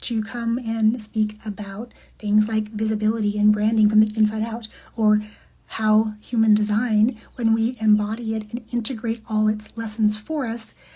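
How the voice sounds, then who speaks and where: Somewhat breathy, a woman speaks at a fairly high pitch in a dark, mellow tone with monotone, flat intonation. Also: moderate pace. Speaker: podcast guest, human design coach. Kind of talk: casual talk to camera. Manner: reflective, warm.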